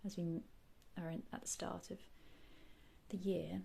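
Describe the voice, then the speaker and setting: In a gentle tone with vocal fry, a woman speaks at a fairly slow pace. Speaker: reiki and ASMR guide. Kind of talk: guided meditation / healing session. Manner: soft, gentle, calming.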